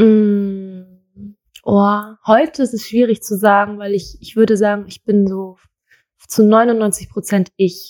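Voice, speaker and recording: Very slowly and in a monotone, flat intonation, a woman at medium pitch speaks with big swings in loudness. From Germany, Thai-born. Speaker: model. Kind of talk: interview.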